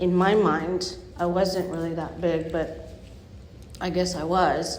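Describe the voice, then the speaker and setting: Amid audible room echo and noticeable background noise, a woman speaks very slowly in a fairly low pitch with monotone, flat intonation. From Bay Area, California. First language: not English (third language). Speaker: recovering addict sharing story. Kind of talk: testimony. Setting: speaker meeting with audience. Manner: halting, many fillers.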